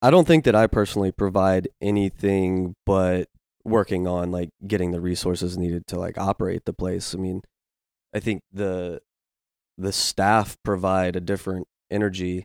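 On a very clean recording with a silent background and a dry, close sound with no echo, a man with an American accent and a very deep, low pitch speaks at a moderate pace in a monotone, flat intonation. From Virginia. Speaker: climbing gym director of operations. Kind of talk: casual interview.

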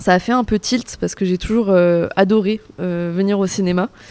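Speaking at a moderate pace, a woman has a medium pitch, a dark, mellow tone and fairly even intonation. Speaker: civic service volunteer. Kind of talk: interview. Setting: cinema lobby.

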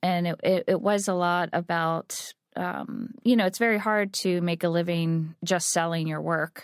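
An ordinary speaking voice at a fairly slow pace, fairly even intonation and hardly any pauses, on a very clean recording with a silent background and a dry, close sound with no echo. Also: woman, fairly low pitch for a woman. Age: 40s. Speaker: artist and studio founder. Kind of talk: interview.

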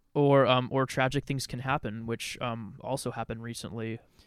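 A man speaks in a flat monotone with an American accent at a moderate pace. The recording is very clean, with a silent background. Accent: West Coast with slight Canadian tinge. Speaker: podcast co-host. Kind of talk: casual chat.

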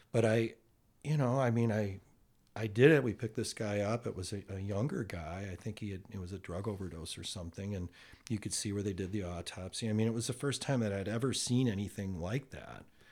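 A plain, everyday voice from a man, fairly low in pitch with ordinary pitch variation, at a fairly quick pace. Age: 60s. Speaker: podcast guest, host's uncle. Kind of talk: casual chat. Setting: in person, face to face.

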